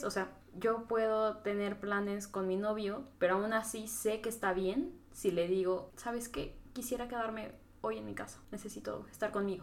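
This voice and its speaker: A woman's fairly high voice in a central Mexican accent, at a moderate pace, with ordinary pitch variation and audible room echo. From Mexico, Tlaxcala. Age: 20s. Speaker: podcast guest, marketing graduate. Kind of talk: casual chat.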